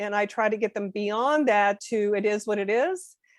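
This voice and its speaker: A woman's fairly high voice, an unremarkable speaking voice, with fairly even intonation and a dry, close sound with no echo. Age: 60s. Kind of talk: podcast interview.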